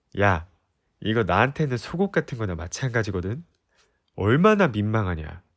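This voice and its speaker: A man at a fairly low pitch and a fairly slow pace. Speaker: voice actor. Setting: ASMR recording, close-mic studio. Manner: bold, teasing bluster, loudly daring her to look him over.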